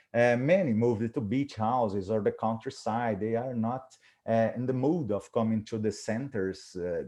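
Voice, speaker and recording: Against a quiet background, a man with a Portuguese accent speaks at a moderate pace in a medium pitch with a dark, mellow tone. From Brazil. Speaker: professor of cardiac rehabilitation. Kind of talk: webinar presentation. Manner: halting.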